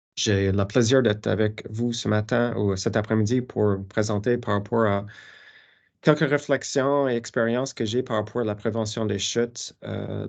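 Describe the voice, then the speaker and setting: A man's fairly low voice with an English accent, fairly even intonation and a fairly slow pace. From Newfoundland, Canada. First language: English (speaking French). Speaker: professor. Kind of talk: lecture. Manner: halting, many fillers.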